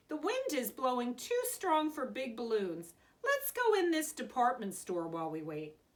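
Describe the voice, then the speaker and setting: A woman does a put-on character voice. Her pitch is high, and her pace is moderate. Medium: read story.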